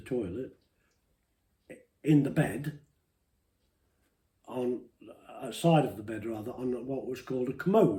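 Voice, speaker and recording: A man with a medium pitch and a dark, mellow tone sounds somewhat breathy. He talks at a moderate pace with ordinary pitch variation. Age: 80s+. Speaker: interviewee telling life story. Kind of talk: personal testimony interview. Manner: emotional.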